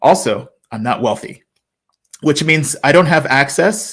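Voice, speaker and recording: Speaking at a fairly slow pace in an American accent, a man uses ordinary pitch variation. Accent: sounds American. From US, child of immigrants. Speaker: conference speaker. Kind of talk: presentation. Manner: halting, many fillers.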